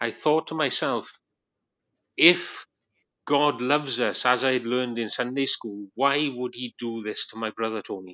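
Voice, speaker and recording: Speaking with a Welsh accent, a man talks at a moderate pace and medium pitch with ordinary pitch variation. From Wales. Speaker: Baptist minister, former atheist. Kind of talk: testimony. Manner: laid back.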